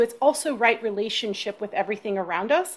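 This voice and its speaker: A plain, everyday voice speaks with an American accent. The pace is fairly quick and the pitch varies in an ordinary way. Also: woman, quiet background. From US South, Texas (South Austin). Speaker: shamanic practitioner. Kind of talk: interview.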